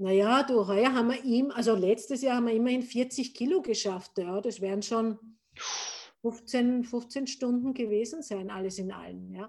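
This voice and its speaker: A woman with a normal speaking voice talks at a fairly high pitch. Her pace is moderate and her pitch variation ordinary. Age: 50s. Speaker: gin distiller. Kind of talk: casual interview. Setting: remote call.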